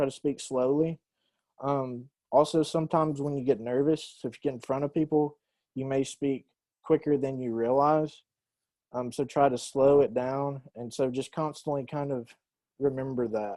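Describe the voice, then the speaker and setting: Dark and mellow in tone, the speaker uses fairly even intonation in a Southern US accent over a quiet background. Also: man, moderate pace. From US South. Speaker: university English teacher. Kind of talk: lecture.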